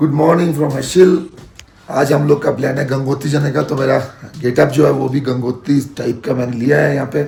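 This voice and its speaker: Using a hoarse, raspy put-on character voice, a man speaks very fast at a fairly high pitch. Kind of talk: casual Hindi-English travel vlog talk.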